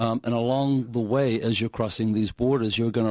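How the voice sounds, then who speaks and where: A man with an American accent speaks at a medium pitch in a dark, mellow tone, with a dry, close sound with no echo and a quiet background. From New Zealand or Australia. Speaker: franchise owner, shipping consultant. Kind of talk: radio interview. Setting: radio studio.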